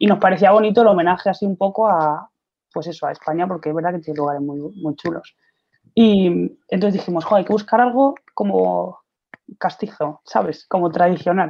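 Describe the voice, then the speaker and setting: Here is a woman with an unremarkable speaking voice, fairly low in pitch. She talks at a fairly quick pace with ordinary pitch variation. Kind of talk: interview.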